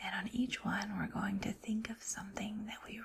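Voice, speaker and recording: Noticeable background noise sits behind a woman with a gentle tone. Her pitch is fairly high and her intonation fairly even. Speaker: teacher, ASMR creator. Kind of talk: calm guided breathing intro for kids. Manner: soft-spoken, gentle, slow.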